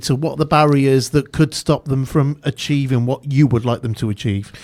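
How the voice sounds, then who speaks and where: This man has a South Wales accent and a fairly high pitch. He speaks at a moderate pace on a very clean recording with a silent background. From Newport, Wales. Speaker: radio host. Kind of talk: radio interview.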